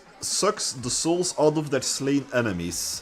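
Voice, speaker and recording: With music in the background, the speaker moves at a very slow pace while the pitch swings very widely. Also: man. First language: Dutch. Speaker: streamer. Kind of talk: casual chat. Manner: halting.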